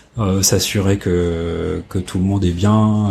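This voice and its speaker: The man's voice is very deep and low, with monotone, flat intonation. He speaks at a very slow pace. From northern France (Oise, Compiègne). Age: 40s. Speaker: photo lab owner. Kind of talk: interview. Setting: office. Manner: halting, many hesitations.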